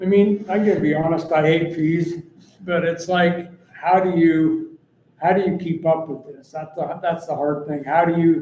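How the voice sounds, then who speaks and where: A man speaks at a moderate pace in a high pitch with monotone, flat intonation. His loudness swings widely amid audible room echo. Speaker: city department head presenting budget. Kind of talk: budget meeting presentation. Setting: city council meeting.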